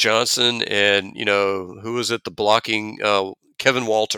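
With an American accent, a man speaks at medium pitch in a bright, sharp tone, the sound dry and close with no echo on a very clean recording with a silent background. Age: 50s. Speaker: sports and politics podcast co-host. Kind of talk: casual chat. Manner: animated.

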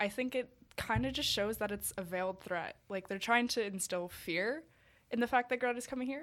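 This woman has a Canadian accent and talks at a fairly quick pace with ordinary pitch variation. The recording is very clean, with a silent background. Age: young. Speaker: climate activist. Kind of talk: casual chat. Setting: studio.

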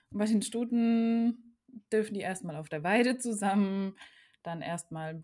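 A woman's voice with ordinary pitch variation, on a very clean recording against a silent background. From German region bordering France. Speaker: podcast host, horse owner. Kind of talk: casual chat.

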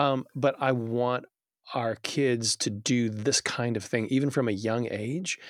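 This is a man with a medium-pitched voice. The recording is very clean, with a silent background. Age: 40s. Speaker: children's book author and publisher. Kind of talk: casual chat. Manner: animated.

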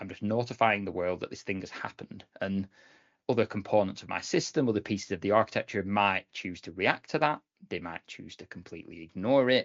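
Using a British accent, a man talks at a fairly quick pace in a fairly low pitch, with ordinary pitch variation and big swings in loudness. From UK. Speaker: cloud architect. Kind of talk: casual podcast interview.

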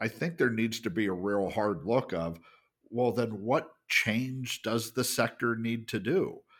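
A man with a normal speaking voice, medium pitch, ordinary pitch variation and a fairly slow pace. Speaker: podcast host. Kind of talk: casual conversational podcast discussion.

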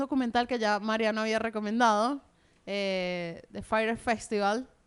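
A woman's fairly high, ordinary speaking voice at a fairly slow pace, with ordinary pitch variation and a quiet background. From Venezuela. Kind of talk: casual chat.

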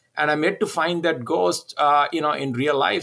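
A man's fairly high voice at a fairly slow pace with ordinary pitch variation. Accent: Indian. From India. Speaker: entrepreneur. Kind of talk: interview conversation.

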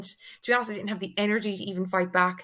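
Her bright, sharp tone sits at medium pitch as a woman speaks with an Irish accent. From Ireland, Tipperary. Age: 20s. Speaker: online fitness and nutrition coach. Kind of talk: casual podcast interview.

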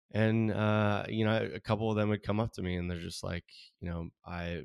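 A man with a Californian accent and fairly even intonation, dry and close with no echo, on a very clean recording with a silent background. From Southern California. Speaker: artist. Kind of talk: interview.

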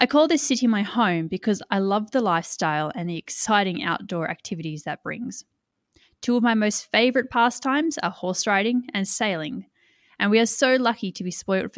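A woman with an Australian accent speaks at a moderate pace, her fairly high voice carrying lively intonation. The recording is very clean, with a silent background and a dry, close sound with no echo. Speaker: podcast host and environmental consultancy CEO. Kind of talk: scripted podcast trailer introduction.

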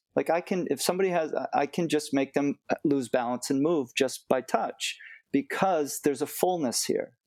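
A man with an unremarkable speaking voice and an American accent talks at a moderate pace and a fairly high pitch, with ordinary pitch variation and very even loudness, on a very clean recording with a silent background and a dry, close sound with no echo. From United States. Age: 50s. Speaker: martial arts teacher. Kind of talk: interview.

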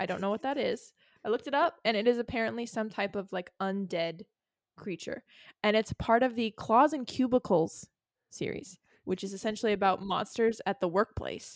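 In a dry, close recording with no echo and a very clean, silent background, a woman speaks at a fairly high pitch and a moderate pace. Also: ordinary pitch variation. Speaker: podcast host. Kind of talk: casual chat. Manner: animated, casual.

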